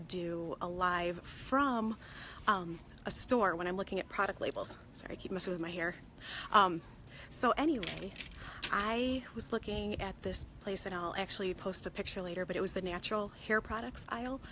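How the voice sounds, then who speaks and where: A woman whispers quietly at a moderate pace. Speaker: consumer product safety vlogger. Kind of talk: casual live vlog from a store. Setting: in a store. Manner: hushed, partly whispering; hesitant, many fillers.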